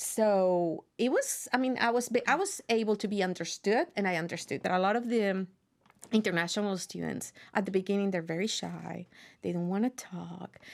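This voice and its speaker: A woman with a Spanish accent talks with ordinary pitch variation on a very clean recording with a silent background. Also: medium pitch for a woman, moderate pace. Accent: Spanish accent, noticeable. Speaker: university professor. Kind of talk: interview. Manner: animated.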